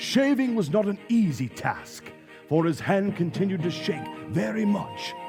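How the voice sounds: A man puts on a character voice, high in pitch with big pitch swings and a slightly mellow tone. He speaks at a fairly slow pace over faint music in the background.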